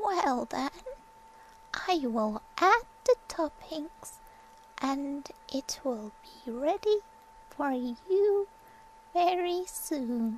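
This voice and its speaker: A woman does a put-on character voice, high-pitched with very wide pitch swings, speaking very slowly with long, frequent pauses against clear background noise. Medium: read story.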